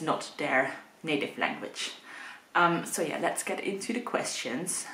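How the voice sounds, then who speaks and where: A woman's very deep, low voice with a Dutch accent at a moderate pace, with audible room echo and noticeable background noise. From Netherlands. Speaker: booktuber. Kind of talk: casual vlog talk to camera. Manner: hesitant, many fillers (um).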